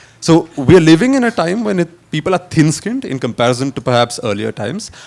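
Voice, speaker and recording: A man speaks very fast in a fairly high voice, his pitch swinging very widely. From India, Kerala. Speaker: historian. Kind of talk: panel discussion.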